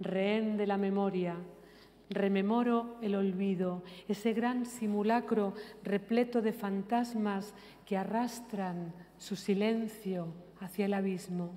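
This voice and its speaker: A woman's very slow, monotone delivery with flat intonation and very even loudness. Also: medium pitch for a woman. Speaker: poet. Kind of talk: poetry reading. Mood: calm, measured, reflective. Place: hall.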